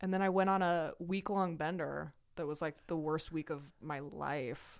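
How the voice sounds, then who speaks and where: A woman with an ordinary speaking voice and an American accent speaks at a fairly slow pace, her pitch fairly low and her intonation fairly even. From Idaho, US. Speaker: person in recovery from addiction. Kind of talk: casual interview conversation.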